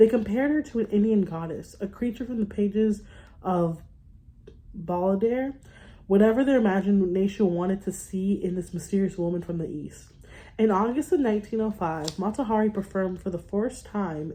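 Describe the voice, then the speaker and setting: This woman's voice is somewhat breathy, with a dark, mellow tone at medium pitch. She moves at a moderate pace with ordinary pitch variation. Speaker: book reader. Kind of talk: reading aloud. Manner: halting, stumbling over words.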